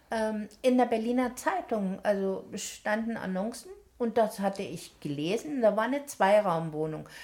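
Through noticeable background noise, a woman talks at a fairly slow pace, her fairly high voice moving with lively intonation. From eastern Germany, Halle an der Saale. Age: 70s. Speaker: retired nurse. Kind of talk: casual chat, life story.

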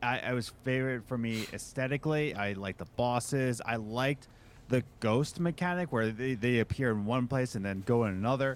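A man with an American accent has an unremarkable speaking voice at a medium pitch. He talks at a fairly quick pace with ordinary pitch variation. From US Northeast, Philadelphia. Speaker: musician and podcaster. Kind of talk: casual chat.

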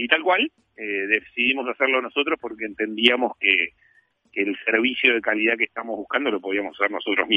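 A man with a medium-pitched voice speaks fairly quickly, varying his pitch in an ordinary way. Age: 40s. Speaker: company executive. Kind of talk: interview. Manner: halting, many fillers.

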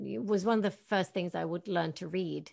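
Moderate-paced speech with a Norwegian accent. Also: woman. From Northern Norway. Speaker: actress and voice actress. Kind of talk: interview. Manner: animated.

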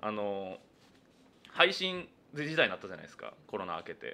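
Speaking at a moderate pace, a man makes very wide pitch swings and big swings in loudness, with long, frequent pauses. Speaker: comedian. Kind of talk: solo radio talk. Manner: talkative.

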